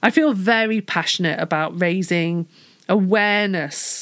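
With a British accent and ordinary pitch variation, a woman is heard in a very clean recording with a silent background. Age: 40s. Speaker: podcast host. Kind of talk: solo podcast talk. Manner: animated.

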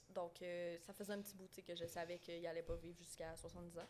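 A woman speaks in a monotone, flat intonation. Her pitch is fairly low. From Quebec, moved from southern France as a child in 2001. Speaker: guest with complex borderline personality disorder. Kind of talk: personal testimony in casual chat. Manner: halting.

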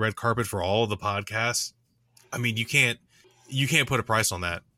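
The tone is bright and sharp at a moderate pace. The sound is dry and close, with no echo. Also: man. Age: 30s. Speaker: scale model hobbyist podcaster. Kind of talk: casual chat.

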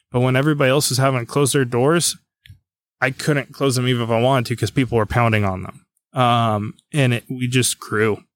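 In a plain, everyday voice, a man at medium pitch talks at a fairly quick pace with fairly even intonation on a very clean recording with a silent background. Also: dry, close sound with no echo. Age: 20s. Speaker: gunsmith and gun shop owner, military veteran. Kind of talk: casual chat.

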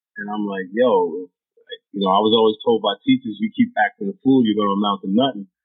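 A man at a very fast pace, fairly low in pitch, with monotone, flat intonation and big swings in loudness, with music in the background. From Toronto, Canada, with childhood years in New York. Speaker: rapper and actor. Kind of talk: casual interview chat.

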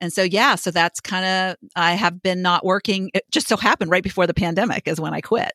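A woman speaks at a fairly quick pace with a medium pitch. The recording is very clean with a silent background, and the sound is dry and close with no echo. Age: 60s. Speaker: life coach and podcast host. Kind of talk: casual chat. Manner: animated.

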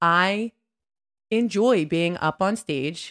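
A woman with a fairly low voice speaks with an American accent. The recording is very clean, with a silent background and a dry, close sound with no echo. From Delaware County, Pennsylvania. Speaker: podcast co-host, fitness instructor. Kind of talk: casual chat.

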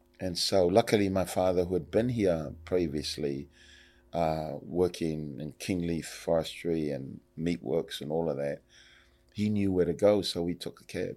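On a very clean recording with a silent background, a man with a very deep, low pitch and a dark, mellow tone talks at a fairly slow pace with ordinary pitch variation. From Samoa. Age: 60s. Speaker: politician. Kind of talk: casual interview.

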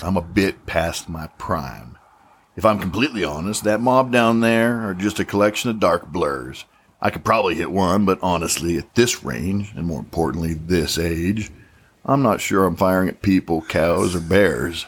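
Doing a put-on character voice, a man speaks at a moderate pace with a raspy, very deep, low pitch and lively intonation. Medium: audio drama. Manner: wry, teasing.

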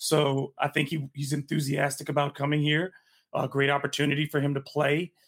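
In a dry, close recording with no echo, a man with an American accent talks at a fairly quick pace in a fairly high, somewhat breathy voice, his intonation monotone and flat and his loudness very even. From Michigan. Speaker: sports writer. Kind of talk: casual chat.

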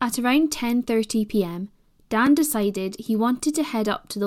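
A woman speaks in a British accent with lively intonation. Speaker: podcast host. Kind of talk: scripted true-crime narration. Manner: measured, serious; formal, even-paced.

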